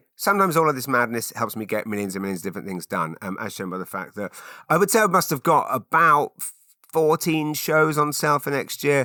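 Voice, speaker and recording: In a dry, close sound with no echo and a very clean recording with a silent background, a man speaks in a bright, sharp tone with very wide pitch swings. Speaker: podcast host and comedian. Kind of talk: casual solo podcast chat. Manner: fast; halting, repeats words.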